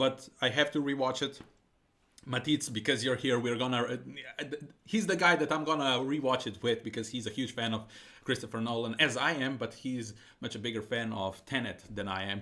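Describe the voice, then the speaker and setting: This man speaks at a moderate pace with a non-native accent. His medium-pitched voice has a bright, sharp tone and ordinary pitch variation. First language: not English. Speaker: streamer. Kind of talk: casual live stream chat. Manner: halting.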